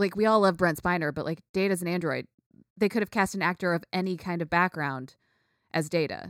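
Fairly quick and fairly low-pitched, a woman's voice comes across dry and close with no echo on a very clean recording with a silent background. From United States. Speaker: podcast host. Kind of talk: casual chat. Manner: animated.

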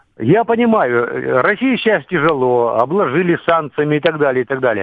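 Pitch swings very widely as a man delivers his words at a fairly slow pace. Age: 60s. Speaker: retired serviceman, war veteran calling a radio show. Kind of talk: radio call-in question. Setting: phone call.

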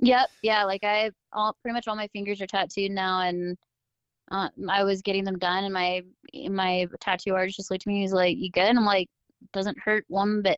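A woman with a plain, everyday voice speaks in an American accent at medium pitch. Her intonation stays fairly even at a moderate pace. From Southern California. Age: 20s. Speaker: adaptive athlete. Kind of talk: casual chat.

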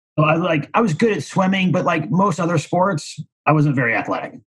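A man with a Midwestern American accent at a moderate pace. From Missouri, near St. Louis. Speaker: commercial real estate broker. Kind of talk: casual interview.

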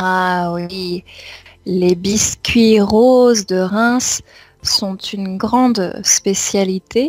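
Speech moves at a very slow pace and the intonation stays fairly even. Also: woman, medium pitch for a woman. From France, Champagne region. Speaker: French language teacher. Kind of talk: interview.

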